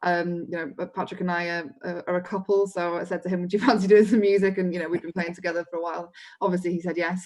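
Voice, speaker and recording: A woman with a Welsh accent talks very fast, barely pausing, in a fairly low, flat monotone. The recording is very clean, with a silent background. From mid Wales. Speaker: folk musician. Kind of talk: interview.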